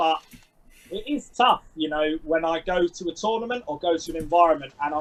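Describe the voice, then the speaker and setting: A loud man with a London accent and a high pitch. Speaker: sports coach. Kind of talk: interview.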